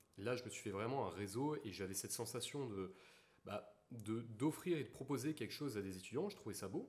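A man at a moderate pace, medium in pitch, somewhat breathy, with lively intonation. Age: 20s. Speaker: engineering student and blockchain entrepreneur. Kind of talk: casual interview chat.

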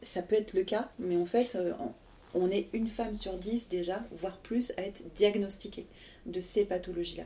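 Fairly slow and fairly even in intonation, a woman speaks in a dark, mellow tone. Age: 40s. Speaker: association president and co-founder. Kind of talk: interview. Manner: hesitant, many fillers.

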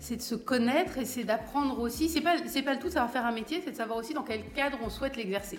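A woman speaks very fast in a high voice, with hardly any pauses and ordinary pitch variation. Noticeable background noise and audible room echo surround her. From France, Val-de-Marne (Paris suburbs). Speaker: cultural entrepreneur and artist manager. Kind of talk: interview conversation. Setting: studio. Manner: hesitant, many fillers and repetitions.

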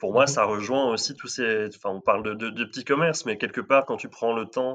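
Here a man talks with a normal speaking voice. His medium pitch shows ordinary variation. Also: quiet background. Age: 30s. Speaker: marketing manager, listener guest. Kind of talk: casual chat.

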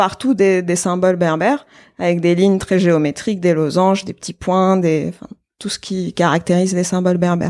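A woman with an ordinary speaking voice talks at a moderate pace, with a fairly low pitch and fairly even intonation. The recording is very clean, with a silent background. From Algeria, Algiers. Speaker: application engineer and artisan brand founder. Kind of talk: casual interview.

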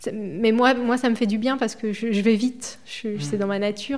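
A woman speaks at a moderate pace with a fairly high pitch. Her intonation is fairly even in an ordinary speaking voice. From France, Indre (Berry). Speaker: director of a home care association. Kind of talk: casual interview.

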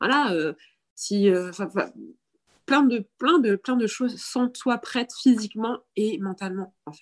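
Recorded very cleanly with a silent background and a dry, close sound with no echo, a woman with a fairly high voice speaks at a very slow pace, using long, frequent pauses, lively intonation and big swings in loudness. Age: 30s. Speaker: breastfeeding content creator. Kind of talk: casual chat. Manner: halting.

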